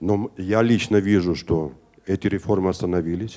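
Dark and mellow in tone, a man with a fairly low pitch speaks at a moderate pace with fairly even intonation. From Georgia. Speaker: audience member asking question; audience member. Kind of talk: audience question. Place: classroom. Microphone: handheld.

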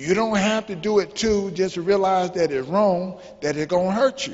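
A man with a high voice talks at a fairly quick pace with ordinary pitch variation. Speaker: motivational speaker. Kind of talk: motivational talk to youth. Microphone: handheld.

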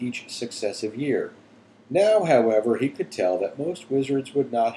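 Natural voice for reading aloud

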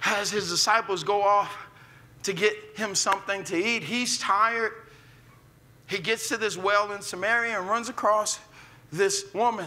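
Projecting his raised voice at a high pitch, a man with an American accent speaks at a moderate pace with long, frequent pauses. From US Midwest, North St. Louis; Missouri. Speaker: pastor. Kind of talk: sermon. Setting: church with live audience. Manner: animated. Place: church.

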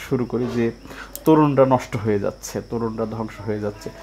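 A man talks over light background noise. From Bangladesh, Tangail area; Bangladesh. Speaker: video channel host, interviewer. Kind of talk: interview. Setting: guest's home. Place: home room. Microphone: phone near.

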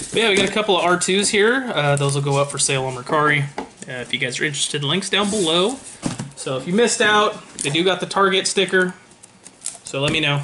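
A man with a high pitch at a very fast pace, over noticeable background noise. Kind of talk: casual vlog chat. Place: home room. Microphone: webcam.

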